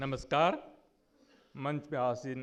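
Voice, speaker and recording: A man is speaking. His pitch is fairly high. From India, West Bengal (Jalpaiguri district). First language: Nepali (speaking Hindi). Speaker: conference speaker on literature. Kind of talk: conference speech.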